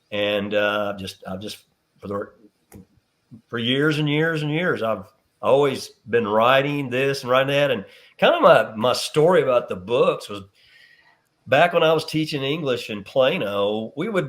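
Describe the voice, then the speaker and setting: Lively intonation marks this man's medium-pitched voice, which shows big swings in loudness. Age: 60s. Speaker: teacher, coach and author. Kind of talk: interview. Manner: halting.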